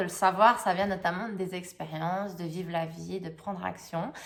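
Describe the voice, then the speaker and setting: Her medium-pitched voice moves at a moderate pace, the woman's intonation fairly even. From Switzerland. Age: young. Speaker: life coach. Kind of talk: channel introduction monologue. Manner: halting, many hesitations and repeats.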